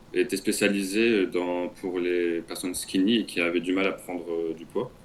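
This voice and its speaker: A man's very deep, low voice at a fairly slow pace with fairly even intonation. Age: 20s. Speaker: coaching client. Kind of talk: testimony. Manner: halting.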